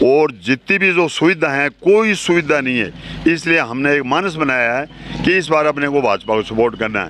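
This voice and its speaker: Noticeable background noise surrounds a man's voice. He speaks at a moderate pace and a fairly high pitch. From Rajasthan, Jhunjhunu area. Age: 70s. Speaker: retired army officer, villager. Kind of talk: street interview.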